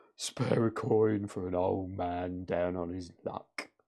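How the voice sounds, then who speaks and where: A man puts on a character voice with a very deep, low pitch, speaking at a fairly slow pace with fairly even intonation. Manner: pleading, cheerful.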